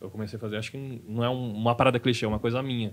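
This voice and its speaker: A man's fairly even intonation comes through over light background noise. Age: 30s. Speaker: stand-up comedian; podcast guest, stand-up comedian. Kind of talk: casual chat. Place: studio. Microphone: studio mic.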